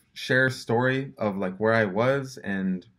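The background stays quiet. A man talks with ordinary pitch variation. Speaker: vlogger. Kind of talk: casual vlog chat. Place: home room. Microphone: phone near.

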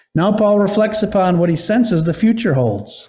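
A man's dark, mellow tone is heard over a quiet background. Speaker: pastor. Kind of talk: sermon. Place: church. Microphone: podium.

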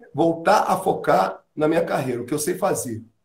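This is a man speaking. He keeps a moderate pace. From Rio de Janeiro. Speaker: musician and singer; interviewee. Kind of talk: casual interview. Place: home room. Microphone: voice cuts out and is too quiet.

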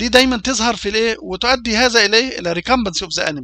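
A man speaks very fast in a raised, projected voice, his tone bright and sharp and his intonation lively. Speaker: university lecturer in veterinary food hygiene. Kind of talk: lecture. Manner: hesitant, with fillers and repetitions.

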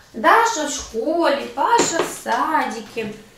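Audible room echo and noticeable background noise. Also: woman. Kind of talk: casual vlog chat. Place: kitchen. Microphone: camera far.

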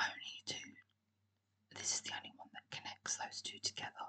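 The speaker is whispering in a calm tone. The pace is moderate. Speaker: ASMR creator. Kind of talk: whispered ASMR talk-through of a geography quiz. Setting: recorded on a laptop microphone. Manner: whispered, soft, calm.

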